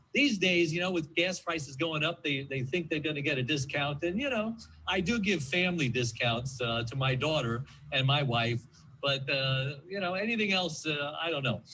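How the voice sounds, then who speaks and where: A man talks with a normal speaking voice. His pace is moderate and his intonation lively. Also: fairly high pitch for a man. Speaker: gas station owner, author. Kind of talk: rehearsed mock TV interview segment.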